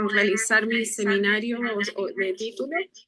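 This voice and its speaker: A woman with a fairly high pitch and a bright, sharp tone speaks at a very slow pace. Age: 40s. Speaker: architecture student. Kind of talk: self-introduction in class.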